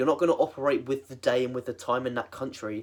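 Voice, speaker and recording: A very fast-talking man with a British accent. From England. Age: 20s. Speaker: fitness coach. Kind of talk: tutorial. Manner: casual, filler-heavy.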